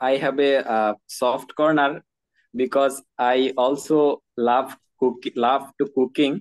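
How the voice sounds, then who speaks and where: With a Bangladeshi accent, a man speaks at a medium pitch. His pace is very slow and his loudness very even. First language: Bengali. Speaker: nursing graduate. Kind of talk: English conversation practice. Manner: hesitant, many fillers.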